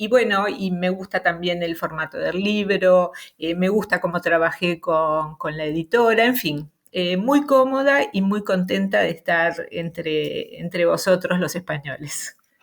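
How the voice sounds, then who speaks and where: A woman with a Rioplatense accent, medium in pitch, at a fairly slow pace with hardly any pauses and ordinary pitch variation, on a very clean recording over a silent background. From Uruguay, Montevideo. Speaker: novelist. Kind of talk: interview. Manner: hesitant, many fillers.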